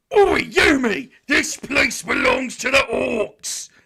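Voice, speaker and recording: Using a put-on character voice, the speaker sounds high-pitched and raspy at a very slow pace. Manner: aggressive, shouting.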